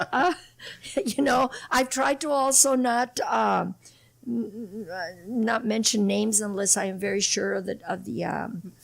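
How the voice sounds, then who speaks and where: A woman with a fairly high pitch and vocal fry speaks at a fairly slow pace, her pitch varying in an ordinary way. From Imperial Valley, southern California. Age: 60s. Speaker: political candidate. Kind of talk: interview.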